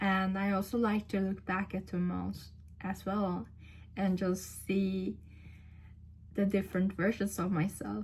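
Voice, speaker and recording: A woman speaks in a monotone, flat intonation with long, frequent pauses. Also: medium pitch for a woman, fairly slow pace. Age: 20s. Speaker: vlogger. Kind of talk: casual talk to camera. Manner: halting, many fillers and restarts.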